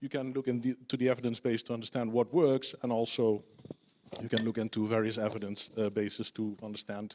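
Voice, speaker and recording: A very fast-talking man, recorded dry and close with no echo. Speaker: evaluation official. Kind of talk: panel discussion. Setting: conference stage. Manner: halting.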